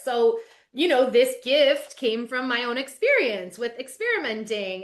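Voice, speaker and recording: A woman talks at a medium tempo, the setting behind her quiet. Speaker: life coach. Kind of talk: podcast interview. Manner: loud.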